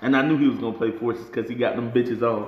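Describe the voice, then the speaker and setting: A man's voice with audible room echo. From Atlanta. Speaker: rapper and video reviewer; video reviewer. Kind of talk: casual vlog commentary. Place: home room. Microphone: phone near.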